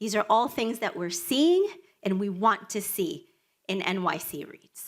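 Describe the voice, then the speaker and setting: A woman with a Spanish accent speaks at a fairly high pitch with lively intonation. Her loudness swings a lot. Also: fairly slow pace. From Dominican Republic, raised in Washington Heights, New York City. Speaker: nonprofit executive director. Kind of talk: prepared speech.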